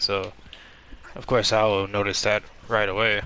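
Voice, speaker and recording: Noticeable background noise accompanies a man whose voice is fairly low in pitch. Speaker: gaming livestreamer. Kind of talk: casual gameplay livestream chat. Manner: quiet, doesn't yell. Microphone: mic close to mouth.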